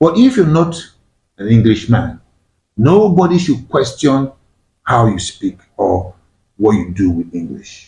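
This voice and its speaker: In a Nigerian accent, a man talks at a medium pitch with very wide pitch swings and vocal fry. His dark, mellow tone comes at a fairly slow pace, broken by long, frequent pauses. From Nigeria, Igbo-speaking. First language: Igbo. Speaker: discussion show host. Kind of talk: panel discussion.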